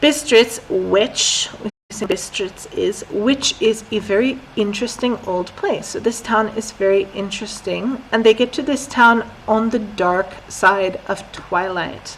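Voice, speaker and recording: With an American accent, a woman talks at a very slow pace and fairly high pitch. Her pitch variation is ordinary, and background noise is noticeable. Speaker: English teacher. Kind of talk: lesson with reading aloud. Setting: live stream. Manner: slow, clear.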